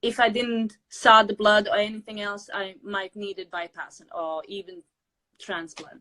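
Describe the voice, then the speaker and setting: Speaking at a fairly slow pace in a Latvian accent, a woman has a bright, sharp tone and a medium pitch with ordinary pitch variation. Her loudness swings widely, and the sound is dry and close with no echo. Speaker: weight loss interviewee. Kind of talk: interview. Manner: halting.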